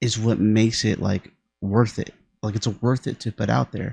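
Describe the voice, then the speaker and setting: A man's somewhat breathy voice sounds dry and close with no echo against a quiet background. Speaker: music reaction youtuber. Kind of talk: casual reaction commentary. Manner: halting, self-correcting.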